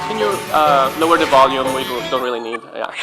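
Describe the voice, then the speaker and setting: Music in the background behind a man at medium pitch, fairly quick pace and ordinary pitch variation. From Italy. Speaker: game designer and professor. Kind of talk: conference panel talk. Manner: halting, many fillers.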